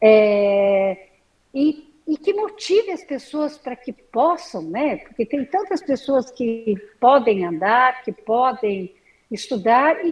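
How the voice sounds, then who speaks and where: A woman's voice swings very widely in pitch. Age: 60s. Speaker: artisan. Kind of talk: interview.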